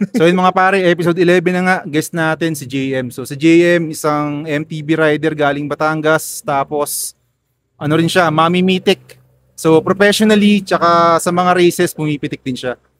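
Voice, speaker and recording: Fairly high pitch from a man with an ordinary speaking voice, fairly even intonation and a moderate pace, on a very clean recording with a silent background, dry and close with no echo. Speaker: podcast host. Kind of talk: casual interview chat. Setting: outdoors at a BMX track.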